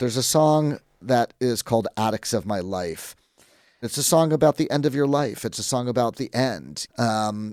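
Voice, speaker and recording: In a very clean recording with a silent background, a man with an ordinary speaking voice talks at a moderate pace, his medium pitch carrying lively intonation. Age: 60s. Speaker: rock photographer. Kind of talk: interview.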